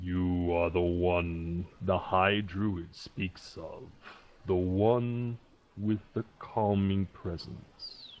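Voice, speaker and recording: In a put-on character voice, a man rumbles at a very deep, low pitch and a very slow pace. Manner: very slow speech.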